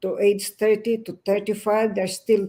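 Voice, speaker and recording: At a moderate pace, a woman speaks with a medium pitch and a dark, mellow tone. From Philippines. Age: 70s. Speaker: businesswoman, community leader. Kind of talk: interview. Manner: energetic.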